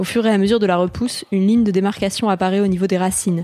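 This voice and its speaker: A woman's dark, mellow voice at a very fast pace, delivered in a monotone, flat intonation. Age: 20s. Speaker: magazine writer reading her own article. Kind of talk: reading aloud.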